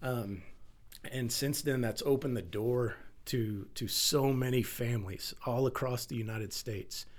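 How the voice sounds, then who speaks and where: At a moderate pace, a man with a Texan accent talks at medium pitch with fairly even intonation. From Texas. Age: 40s. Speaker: firefighter and milk bank founder. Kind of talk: interview conversation.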